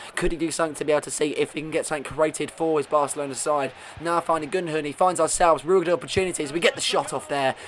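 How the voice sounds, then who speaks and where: Noticeable background noise sits behind a man talking at a very fast pace with hardly any pauses. His pitch is fairly high. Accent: British. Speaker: gaming video creator. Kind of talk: gameplay commentary. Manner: animated.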